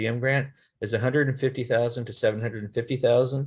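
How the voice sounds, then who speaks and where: A man's somewhat breathy, medium-pitched voice at a very fast pace against a quiet background. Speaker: state transportation grant program manager. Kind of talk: webinar presentation.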